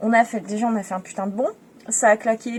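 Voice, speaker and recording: A woman speaks at a fairly high pitch. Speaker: travel vlogger. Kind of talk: casual vlog narration. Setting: outdoors on a beach at night.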